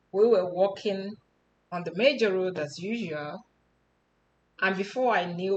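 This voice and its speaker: The speaker has a Nigerian accent and ordinary pitch variation. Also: woman. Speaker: personal storyteller. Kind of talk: personal testimony.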